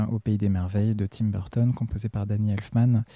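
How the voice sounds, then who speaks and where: The tone is dark and mellow, the intonation monotone and flat, and the sound dry and close with no echo. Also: man. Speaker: music podcast host. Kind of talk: radio-style music presentation. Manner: hesitant with frequent euh.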